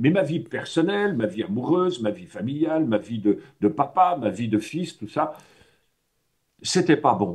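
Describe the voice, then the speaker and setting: A man speaks fairly slowly in a fairly high, somewhat breathy voice. His pitch swings very widely. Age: 60s. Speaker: personal development trainer. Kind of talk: talk to a workshop audience. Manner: hesitant, many fillers; casual, conversational.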